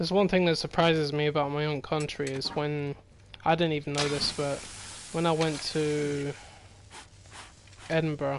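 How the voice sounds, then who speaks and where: With an English accent, a man speaks in a flat monotone at a fairly high pitch and a moderate pace, leaving long, frequent pauses. Noticeable background noise sits behind him. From Scotland. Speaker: gaming streamer. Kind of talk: casual chat. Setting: live stream over gameplay.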